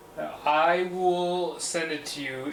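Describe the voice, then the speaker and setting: Male speech amid noticeable background noise and audible room echo. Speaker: PC builder streamer. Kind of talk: live build stream chat. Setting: livestream. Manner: casual, hesitant.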